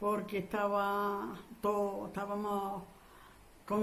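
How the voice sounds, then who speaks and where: A woman speaks at a medium pitch and a very slow pace, with audible room echo and noticeable background noise. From Andalusia, Spain (Huesa, Jaén). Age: 80s+. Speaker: war survivor. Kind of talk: oral history interview. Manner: halting.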